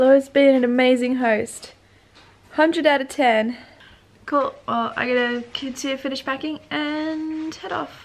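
Her pitch high and her intonation fairly even, a woman speaks at a fairly slow pace. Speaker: travel vlogger. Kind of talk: casual vlog chat. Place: home room.

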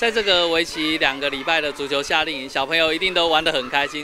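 Over noticeable background noise, a man talks very fast, the sound dry with no echo. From Taiwan. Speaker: county councillor. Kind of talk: casual remarks. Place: hall. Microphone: handheld.

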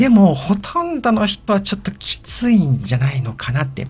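A man talks at a fairly quick pace. His fairly high voice swings very widely in pitch. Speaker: video blogger. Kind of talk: casual monologue. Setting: old house, recorded solo. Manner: hesitant with many fillers.

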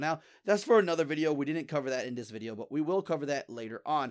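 Someone speaks at a very fast pace with lively intonation in a very clean recording with a silent background. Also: man. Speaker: gaming video creator. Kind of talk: gameplay tutorial commentary. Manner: fast talker; casual and rambling.

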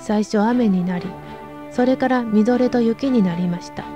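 Over music in the background, a woman sounds strained, her fairly high voice showing ordinary pitch variation. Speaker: narrator. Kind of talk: audiobook reading of a classic novel. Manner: restrained, unemotional.

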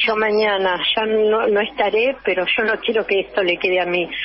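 Amid noticeable background noise, a woman keeps a moderate pace. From Argentina, Buenos Aires province. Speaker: local political candidate. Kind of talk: radio interview. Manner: animated.

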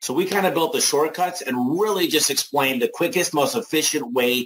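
A man has a normal speaking voice with lively intonation, delivered at a fairly quick pace. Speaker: home services business owner. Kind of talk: sales webinar interview. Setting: live online webinar.

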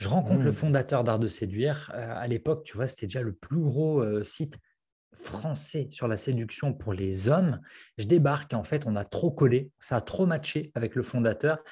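A man's dark, mellow, somewhat breathy voice at medium pitch, with lively intonation, a moderate pace and a quiet background. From France. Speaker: copywriting coach and author; copywriting coach. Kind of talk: interview. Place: home room. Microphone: earbuds.

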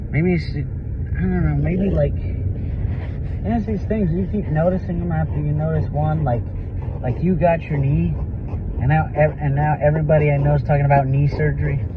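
A man talks at a moderate pace in a dry sound with no echo. Noticeable background noise is present. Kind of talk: casual conversation. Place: car. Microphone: phone near.

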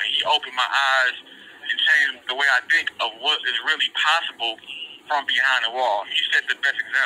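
A man talks at a moderate pace, keeping his loudness very even. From Detroit area, Michigan, US. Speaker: incarcerated author. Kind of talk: interview. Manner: halting.

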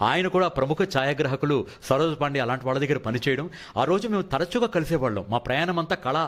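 In a very clean recording with a silent background, a man with a fairly high pitch and lively intonation speaks in an unremarkable speaking voice. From Visakhapatnam, coastal Andhra Pradesh, India. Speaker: film director, actor and dubbing artist. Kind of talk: interview. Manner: formal.

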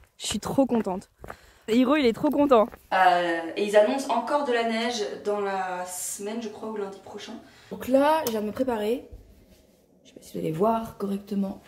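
A woman's voice with long, frequent pauses and big swings in loudness over noticeable background noise. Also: fairly high pitch for a woman, ordinary pitch variation, moderate pace. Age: 20s. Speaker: lifestyle vlogger. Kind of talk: casual vlog to camera.

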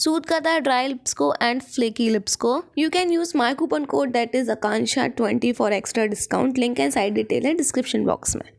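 A woman speaks at a high pitch and a moderate pace, with hardly any pauses. Her intonation is lively, and her loudness stays very even. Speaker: lifestyle vlogger. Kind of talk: vlog narration; sponsored product pitch. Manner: casual, chatty.

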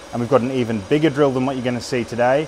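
A man is speaking, with ordinary pitch variation. Light background noise sits behind him. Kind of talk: casual vlog chat. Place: workshop. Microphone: phone near.

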